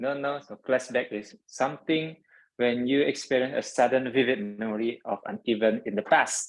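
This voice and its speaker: A man talks at a medium pitch. He has an Indonesian accent. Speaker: toastmasters club member, grammarian. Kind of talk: club meeting role explanation.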